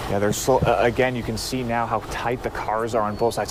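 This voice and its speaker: A man at a very fast pace with ordinary pitch variation, against noticeable background noise. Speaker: field reporter. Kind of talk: live field report.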